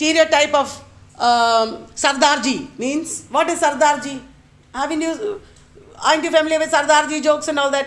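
A woman's high pitch at a moderate pace, with fairly even intonation and a Keralan accent. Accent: Indian English (Malayali). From India, Kerala. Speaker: lecturer. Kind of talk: lecture. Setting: university workshop with live audience. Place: classroom.

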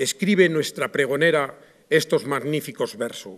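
Against a quiet background, a man speaks at a fairly slow pace with ordinary pitch variation. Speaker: presenter of the proclaimer, poet. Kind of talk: formal speech introducing the proclaimer. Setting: theatre stage with audience. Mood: solemn, devotional. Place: stage. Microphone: podium.

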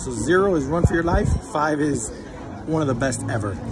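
A man speaks with clear music in the background. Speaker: food vlogger. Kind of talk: casual vlog chat, restaurant review. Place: cafe. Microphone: phone near.

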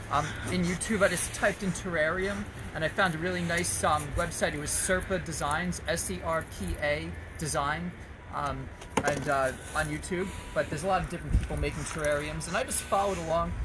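A man speaks at a fairly quick pace while loud background noise fills the recording. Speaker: art class instructor. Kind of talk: tutorial. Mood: relaxed, friendly. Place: garden. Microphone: phone near.

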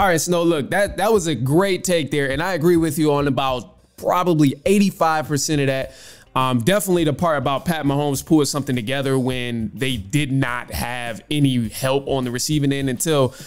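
A man speaks at a fairly quick pace with hardly any pauses. His pitch variation is ordinary. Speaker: podcast host. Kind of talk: commentary responding to caller. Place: home room. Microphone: studio mic.

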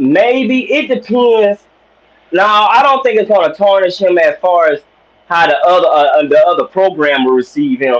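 This man has a high pitch and makes very wide pitch swings. His loudness stays very even, and his pace is moderate. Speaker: caller. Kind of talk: casual chat. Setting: phone call. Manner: halting. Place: home room. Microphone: video call.

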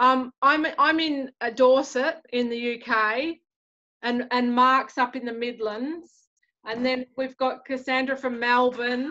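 In an Australian accent, a woman speaks in a raised, projected voice at a very slow pace. Her voice is high, bright and sharp, and the background is quiet. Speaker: artist teaching a painting class; art teacher. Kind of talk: tutorial. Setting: video call. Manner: animated. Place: home room. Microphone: video call.

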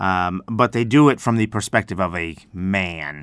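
A man with an American accent on a very clean recording, silent background. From United States. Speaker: English teacher and radio show host. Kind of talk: educational radio program explaining song lyrics. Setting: university radio broadcast. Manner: friendly, explanatory.

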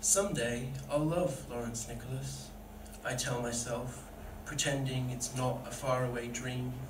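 Fairly even intonation at a moderate pace, with noticeable background noise. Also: man. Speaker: poet. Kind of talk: spoken word poetry performance, read aloud from the page. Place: stage.

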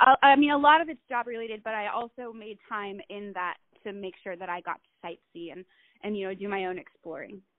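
A normal speaking voice from a woman with an American accent, lively intonation, big swings in loudness, and a fairly quick pace. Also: medium pitch for a woman. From Utah. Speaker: artist, model and actress. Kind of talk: casual interview chat.

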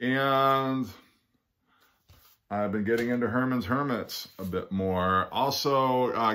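A man's slow, fairly low, fairly bright voice with ordinary pitch variation

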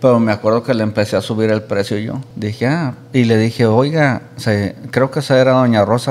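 A man is speaking. His pace is moderate. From Michoacán, Mexico. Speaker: influencer, podcast guest. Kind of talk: casual chat, interview. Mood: relaxed storytelling. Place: studio. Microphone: studio mic.

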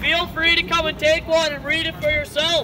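Noticeable background noise sits behind a man's voice. He speaks at a moderate pace with monotone, flat intonation. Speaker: street preacher. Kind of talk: sermon. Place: street. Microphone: camera far.

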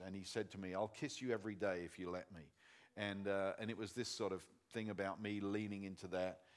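This man has an ordinary speaking voice, fairly low in pitch. He talks at a moderate pace. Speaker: conference speaker. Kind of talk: sermon. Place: stage.

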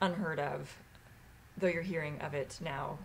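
This woman's voice sits at a fairly low pitch. Its pitch varies in an ordinary way. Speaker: vlogger. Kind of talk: casual chat. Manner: halting. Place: home room. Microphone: webcam.

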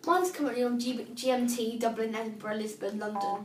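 A woman with a British accent and ordinary pitch variation, amid light background noise and audible room echo. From UK. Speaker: assistive technology demonstrator; braille device user demonstrating. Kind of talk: tutorial. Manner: casual, hesitant with fillers. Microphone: phone near.

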